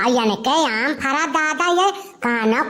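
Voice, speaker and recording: In a cartoonish character voice pitched high, a woman speaks over light background noise. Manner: loud, abusive, quarrelsome.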